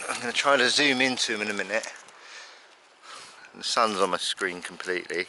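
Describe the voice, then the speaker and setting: A man with a southern English accent, fairly quick pace, long and frequent pauses, ordinary pitch variation, and noticeable background noise. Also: medium pitch for a man. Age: 60s. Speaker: birdwatching vlogger. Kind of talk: casual vlog narration. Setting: outdoors.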